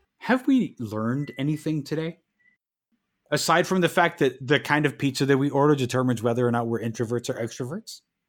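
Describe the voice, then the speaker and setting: This man has a normal speaking voice and talks at a fairly quick pace. His pitch varies an ordinary amount. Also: fairly high pitch for a man. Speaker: podcast co-host, writer and performer. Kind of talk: casual chat.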